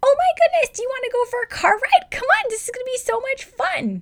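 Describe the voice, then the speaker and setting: Someone uses a put-on character voice at an extremely high pitch and a very fast pace. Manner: super cheerful, coaxing.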